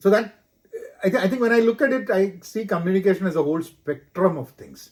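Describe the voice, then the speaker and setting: In a Keralan accent, a man speaks at a fairly quick pace. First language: Malayalam. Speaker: corporate professional, podcast co-host. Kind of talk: casual chat.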